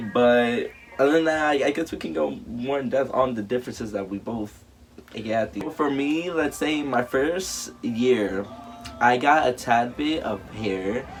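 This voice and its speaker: Over music in the background, a man with a medium pitch speaks at a fairly slow pace with lively intonation. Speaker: YouTuber. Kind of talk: casual chat.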